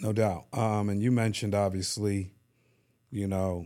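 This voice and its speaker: A man's fairly low voice, with music in the background. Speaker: podcast host. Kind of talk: casual interview with wife. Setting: studio. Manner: warm, encouraging.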